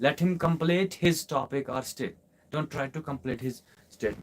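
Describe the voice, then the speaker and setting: Speaking with a Kashmiri accent, a man uses a fairly high pitch, ordinary pitch variation and a moderate pace. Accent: Kashmiri Indian English. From Kashmir, India. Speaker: English teacher. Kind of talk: live online class Q&A. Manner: repetitive, emphatic.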